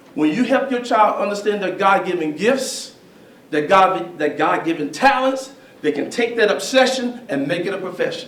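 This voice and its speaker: The speech has lively intonation. Audible room echo and noticeable background noise accompany it. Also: man, high pitch for a man, moderate pace. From Alabama. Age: 60s. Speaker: speaker on history and race. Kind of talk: public talk with Q&A.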